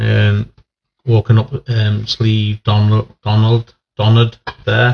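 A man with an East Midlands accent, fairly low-pitched and flat in monotone intonation, with vocal fry at a slow pace

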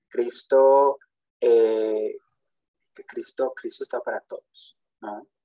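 Taking long, frequent pauses, a man speaks at a very slow pace. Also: dry, close sound with no echo. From Texas. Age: 20s. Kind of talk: testimony.

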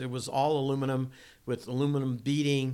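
Talking at a fairly quick pace, a man with an American accent speaks at medium pitch. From Massachusetts. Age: 60s. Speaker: off-road racing driver and builder. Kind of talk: casual interview storytelling. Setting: in a home kitchen.

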